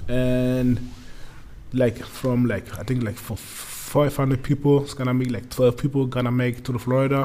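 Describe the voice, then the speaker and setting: A man with a German accent speaks at a medium pitch in a flat, monotone delivery. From Germany, Munich. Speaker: American football player. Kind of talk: casual chat. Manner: halting.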